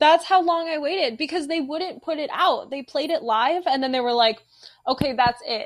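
With ordinary pitch variation, a woman speaks in a high-pitched voice. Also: moderate pace. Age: 20s. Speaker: student newspaper copy editor. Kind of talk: casual chat. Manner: animated.

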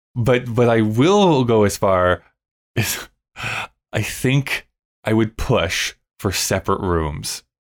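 Someone speaks at a very slow pace with long, frequent pauses and lively intonation, loudness very even, the sound dry and close with no echo on a very clean recording with a silent background. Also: man, medium pitch for a man. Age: 30s. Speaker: podcast co-host. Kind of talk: casual chat.

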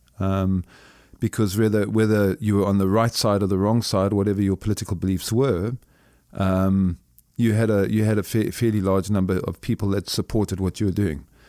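A dark, mellow tone in a Zimbabwean accent, at a fairly quick pace with fairly even intonation and very even loudness, on a very clean recording with a silent background. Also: man, fairly low pitch for a man. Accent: deep Zimbabwean. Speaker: businessman and former soldier. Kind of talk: interview. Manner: halting, with many repetitions.

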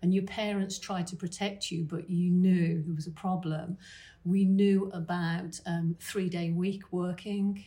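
A woman's somewhat breathy, medium-pitched voice in a British accent, dark and mellow in tone, with monotone, flat intonation. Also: fairly slow pace. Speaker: financial planner. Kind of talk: interview answer at a conference.

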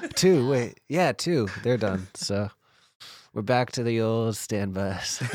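Here a man speaks at a very slow pace and medium pitch. His intonation is lively. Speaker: podcast co-host. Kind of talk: casual chat.

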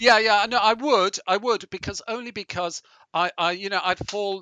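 With a British accent, a man speaks at a high pitch and a fairly quick pace. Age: 60s. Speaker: business founder and executive chairman. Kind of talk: interview.

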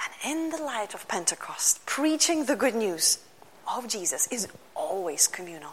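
The speaker has a Lithuanian accent, with very wide pitch swings and big swings in loudness. Noticeable background noise can be heard. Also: woman, fairly high pitch for a woman, moderate pace. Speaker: pastor. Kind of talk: sermon.

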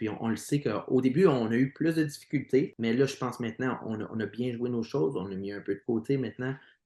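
With an Ontario French accent, a man speaks in a dark, mellow tone. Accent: Franco-Ontarian French. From Eastern Ontario (Franco-Ontarian). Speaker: singer in a band. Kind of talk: interview. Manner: repetitive stammering.

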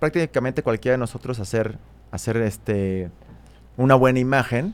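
In a Mexico City accent, a man talks at a very fast pace with a medium pitch. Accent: Mexico City Spanish (chilango). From Mexico City (Coyoacán). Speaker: photographer. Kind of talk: interview. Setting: studio. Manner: casual, hesitant fillers.

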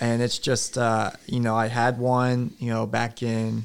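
This man speaks at a fairly slow pace with an American accent, his medium-pitched voice flat and monotone. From Alaska and Oklahoma. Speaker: youth pastor. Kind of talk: casual chat.

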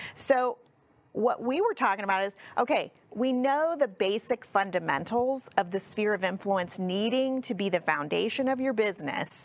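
This woman talks in a plain, everyday voice at a moderate pace. Her pitch sits fairly high, and her intonation is lively. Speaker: real estate coach and agency CEO. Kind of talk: casual interview chat.

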